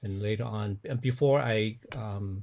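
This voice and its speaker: A man with a Cantonese accent speaks in a dark, mellow, somewhat breathy tone, fairly low in pitch with fairly even intonation, against a quiet background. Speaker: pastor. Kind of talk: interview. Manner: halting, frequent repetitions.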